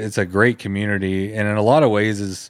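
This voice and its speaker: On a very clean recording with a silent background, a man speaks in a normal speaking voice. He has an American accent, a fairly low pitch and a moderate pace. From Texas, College Station. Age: 40s. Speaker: podcast host and interviewer. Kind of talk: casual interview chat.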